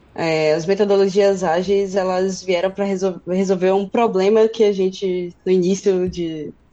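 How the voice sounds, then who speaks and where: Medium-pitched female voice against noticeable background noise. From Brazil, interior of Bahia (Feira de Santana). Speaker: software developer. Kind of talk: casual tech conversation. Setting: live stream.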